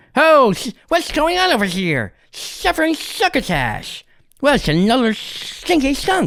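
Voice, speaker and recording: Doing a put-on character voice, a man speaks at an extremely high pitch and a fairly slow pace with very wide pitch swings. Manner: zany.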